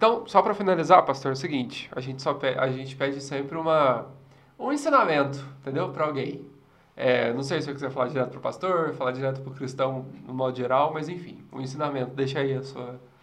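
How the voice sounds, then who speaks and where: Through audible room echo, a man with a fairly high pitch talks very fast, with big swings in loudness. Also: ordinary pitch variation. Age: 20s. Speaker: podcast host. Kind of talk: casual interview.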